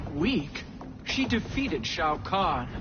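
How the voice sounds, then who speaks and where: A woman puts on a character voice at a fairly low pitch. Loud background noise runs behind her. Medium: video game.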